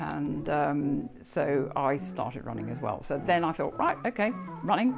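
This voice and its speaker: A fairly slow pace over music in the background. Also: woman. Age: 70s. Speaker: amateur runner with osteoporosis. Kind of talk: interview answer.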